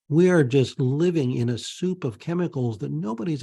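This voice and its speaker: With an American accent and a dark, mellow tone, a man speaks at a moderate pace, somewhat breathy, his pitch swinging very widely. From Pennsylvania, US. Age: 60s. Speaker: naturopath. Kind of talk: interview with screen-share presentation.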